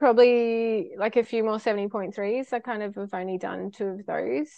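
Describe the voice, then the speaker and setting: Speaking with an Australian accent, a woman holds a medium pitch that varies in an ordinary way. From Australia, far north Queensland (Cairns). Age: 30s. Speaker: triathlete. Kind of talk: interview.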